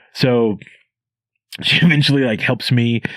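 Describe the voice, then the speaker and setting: A man speaks in an animated tone. His pitch sits in the medium range. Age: 20s. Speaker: stand-up comedian. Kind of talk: casual podcast chat, telling an anecdote. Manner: animated storytelling.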